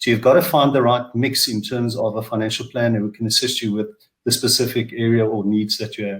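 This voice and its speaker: This man talks at a fairly quick pace in a medium pitch, his somewhat breathy voice keeping a fairly even intonation. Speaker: financial planner and author. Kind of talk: webinar panel discussion.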